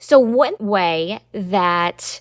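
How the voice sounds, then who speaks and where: A woman talks in a Southern US accent with an upbeat tone and medium pitch. Her pitch variation is ordinary, and the recording is very clean with a silent background. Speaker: podcast host, trademark lawyer. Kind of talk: podcast explainer monologue. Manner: conversational, upbeat.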